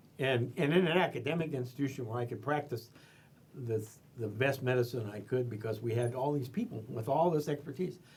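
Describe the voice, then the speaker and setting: Somewhat breathy, a man's medium-pitched voice moves at a very fast pace. His pitch variation is ordinary. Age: 70s. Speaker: retired veterinarian. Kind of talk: oral history interview. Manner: halting with repetitions.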